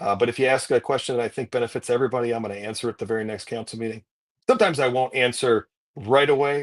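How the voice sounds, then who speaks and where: At a very fast pace, a man with a medium-pitched voice and fairly even intonation speaks in a dry, close sound with no echo against a quiet background. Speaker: city manager, former police chief. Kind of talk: casual interview. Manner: soft-spoken.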